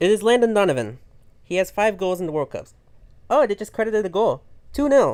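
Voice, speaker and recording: The speech moves at a fairly quick pace but is broken by long, frequent pauses. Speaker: livestream host running a game tournament. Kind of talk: live game stream chat. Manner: fast; animated.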